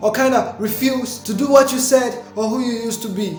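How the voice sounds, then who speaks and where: Music plays behind a voice moving at a moderate pace. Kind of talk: spoken word poetry performance.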